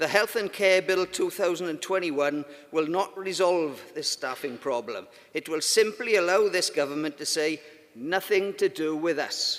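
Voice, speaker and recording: A speaker with a Welsh accent talks at a moderate pace. The pitch varies in an ordinary way. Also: man, high pitch for a man. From Wales. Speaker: union conference delegate. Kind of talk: conference speech.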